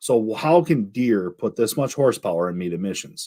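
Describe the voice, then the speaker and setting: Animated tone and lively intonation on a very clean recording with a silent background. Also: man. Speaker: diesel mechanic livestream host. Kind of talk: casual livestream chat.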